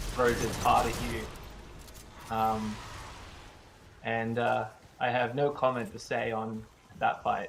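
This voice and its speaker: A man in an Australian accent at a very slow pace, with long, frequent pauses, audible room echo, and noticeable background noise. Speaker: game developer. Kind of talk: casual chat while gaming. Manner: hesitant, repeats words.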